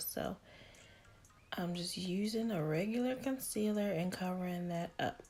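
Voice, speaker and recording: Speaking at a moderate pace, this woman has a fairly low pitch and a dark, mellow tone. Her voice is somewhat breathy, with ordinary pitch variation. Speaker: beauty YouTuber. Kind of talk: makeup tutorial. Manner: casual, repetitive filler.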